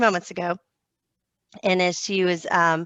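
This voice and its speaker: A woman talks with a Southern US accent. The sound is dry and close with no echo, over a quiet background. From US South. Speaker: homeschooling mom. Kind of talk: podcast interview.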